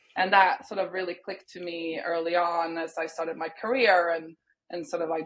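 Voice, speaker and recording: Talking at a moderate pace, a woman with a Swedish accent has a fairly low pitch. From Sweden. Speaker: music industry executive. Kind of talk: podcast interview.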